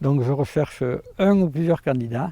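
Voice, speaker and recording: A man with a dark, mellow tone speaks at a moderate pace. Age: 50s. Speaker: farmer. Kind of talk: interview testimony. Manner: hesitant, many fillers.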